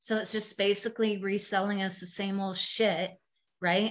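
A woman with an ordinary speaking voice and a Canadian accent talks at a medium pitch and a moderate pace. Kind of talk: casual chat. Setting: video call.

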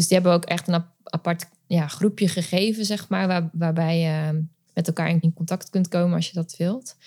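A woman speaks at a moderate pace in a dark, mellow, somewhat breathy tone. Her intonation is monotone and flat, and the sound is dry and close with no echo. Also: fairly low pitch for a woman. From Netherlands, later Friesland. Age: 30s. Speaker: mother coach. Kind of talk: interview testimony.

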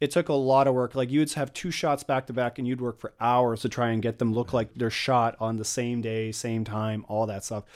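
An unremarkable speaking voice with a Canadian accent moves at a moderate pace with fairly even intonation and hardly any pauses, on a very clean recording with a silent background. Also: man, medium pitch for a man. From British Columbia, Canada. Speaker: independent filmmaker. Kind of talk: casual interview chat.

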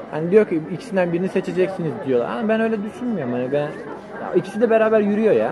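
A man's high-pitched voice at a very fast pace, with very wide pitch swings and hardly any pauses, amid audible room echo and crowd noise in the background. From Turkey, Antalya. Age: 20s. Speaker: computer engineering student. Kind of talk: casual chat. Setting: outdoor restaurant.

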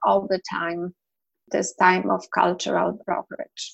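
A woman speaks with a Polish accent. Her pace is very slow. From Poland. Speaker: medical interpreter. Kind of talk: interview.

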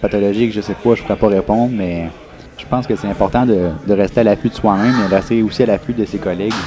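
A man talks at a very fast pace in a fairly low pitch. Noticeable background noise sits behind him. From Quebec, Granby area. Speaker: radiology resident physician. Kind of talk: casual chat. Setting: brewery.

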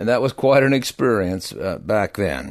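Against a quiet background, a man speaks in a normal speaking voice with a medium pitch. His intonation is lively and his pace moderate. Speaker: retired agricultural broadcaster. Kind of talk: casual interview conversation.

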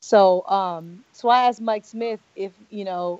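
This is a plain, everyday voice with an American accent and fairly even intonation. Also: woman. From Los Angeles, US West Coast. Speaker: podcaster and football wife, sports media personality. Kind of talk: casual interview.

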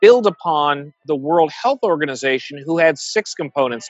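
A plain, everyday voice from a man, fairly high-pitched, with lively intonation at a moderate pace. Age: 40s. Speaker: data scientist and professor. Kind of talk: interview.

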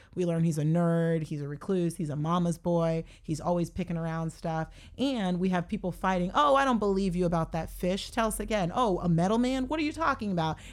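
A woman with fairly low pitch speaks in an animated tone, fairly quick with hardly any pauses and lively intonation. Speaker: television writer. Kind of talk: casual chat.

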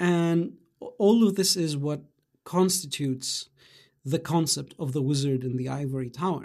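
A man speaks at a moderate pace with a dark, mellow tone and a fairly high pitch. The background is quiet. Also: ordinary pitch variation. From Greece (childhood partly in Germany). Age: 20s. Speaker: podcast host, philosophy PhD candidate. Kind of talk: solo monologue, casual reflective talk. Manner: hesitant with many fillers.

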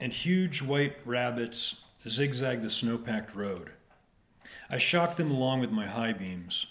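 A man's medium-pitched voice at a very slow pace, with lively intonation. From Dayton, Ohio. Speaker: poet and farrier. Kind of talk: interview conversation. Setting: at home.

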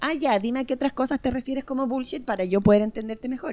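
A woman with a Chilean accent, music in the background. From northern Chile. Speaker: podcast guest. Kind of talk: casual chat.

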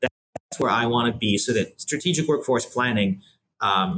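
Loud and bright with a sharp tone, a man speaks with an American accent at a moderate pace. His pitch is medium, with ordinary variation. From Buffalo, New York, US. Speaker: workforce planning executive. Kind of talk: interview. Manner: loud and clear; hesitant, many fillers.

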